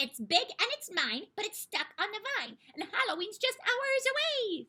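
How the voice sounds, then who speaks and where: A female-sounding, put-on character voice comes out squeaky at an extremely high pitch. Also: moderate pace. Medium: read story.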